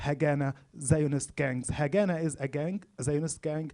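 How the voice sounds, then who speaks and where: This man's voice is fairly high in pitch, with a dark, mellow tone. He speaks in an Arabic accent with monotone, flat intonation. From Gaza, Palestine. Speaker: speaker at public talk, trauma healing student. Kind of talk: public talk. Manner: halting, with fillers.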